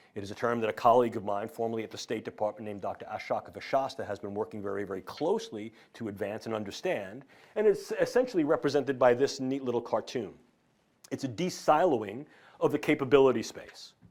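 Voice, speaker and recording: Talking very fast with a New York accent, a man at medium pitch uses lively intonation and big swings in loudness. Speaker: neuroscientist. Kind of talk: lecture. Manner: formal.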